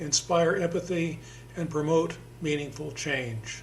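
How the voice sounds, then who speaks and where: Pitched high and varying in an ordinary way, a man's voice moves at a moderate pace. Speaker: podcast host, theater member. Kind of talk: scripted intro then casual interview.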